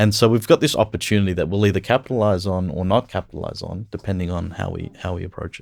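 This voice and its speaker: A man with an Australian accent speaks at a very fast pace with hardly any pauses, a fairly low pitch, ordinary pitch variation and big swings in loudness, in a very clean recording with a silent background. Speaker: business executive. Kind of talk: podcast interview. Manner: casual, with fillers.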